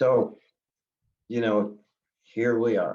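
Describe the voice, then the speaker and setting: A man speaks very slowly in a dark, mellow tone with an American accent. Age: 70s. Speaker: search and recovery team founder. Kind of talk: interview. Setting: podcast. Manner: halting, many fillers.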